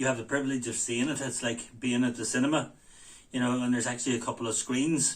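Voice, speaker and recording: With a Belfast accent, a man speaks at a medium pitch and a fairly quick pace with fairly even intonation. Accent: East Belfast. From Northern Ireland, East Belfast. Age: 60s. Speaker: heart patient sharing experience. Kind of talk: casual talk to camera. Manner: hesitant, many fillers.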